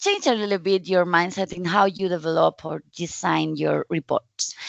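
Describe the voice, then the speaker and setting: A woman is speaking. She has a Spanish accent. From Spain. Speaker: data visualization specialist, conference speaker. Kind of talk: conference talk. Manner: halting, with fillers.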